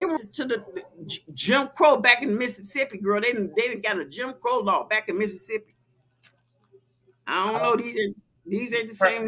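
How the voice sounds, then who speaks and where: Her bright, sharp tone swings very widely in pitch, and a woman's voice carries vocal fry. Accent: American. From Chicago. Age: 60s. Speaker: podcast host. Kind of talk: casual chat. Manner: animated.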